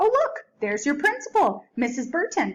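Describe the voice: Using a put-on character voice, a woman speaks high and fairly bright at a moderate pace, her pitch swinging very widely.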